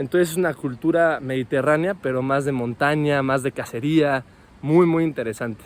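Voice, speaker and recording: A man with an unremarkable speaking voice, a fairly high pitch and ordinary pitch variation at a moderate pace. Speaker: winemaker and wine podcast host. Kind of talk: casual vlog monologue. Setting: outdoors after a run.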